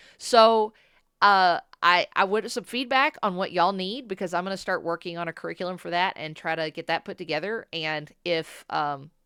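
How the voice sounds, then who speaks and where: A woman speaks loudly at a moderate pace and a medium pitch, her bright, sharp tone carrying ordinary pitch variation in a very clean recording with a silent background and a dry, close sound with no echo. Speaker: diesel mechanic and shop owner, YouTuber. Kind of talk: casual vlog monologue. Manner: loud, projecting voice; hesitant fillers, repeated words.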